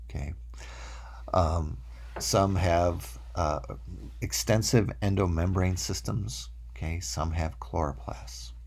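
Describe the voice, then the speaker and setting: Audible room echo carries a man's very deep, low voice with vocal fry. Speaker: college microbiology instructor. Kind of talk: recorded lecture. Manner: hesitant fillers (uh, um).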